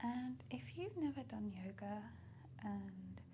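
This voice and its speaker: Soft-spoken and gentle in tone, a woman talks with fairly even intonation against noticeable background noise. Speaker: ASMR artist and yoga guide. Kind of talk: guided yoga class, live stream. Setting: live stream to viewers. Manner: soft-spoken, gentle.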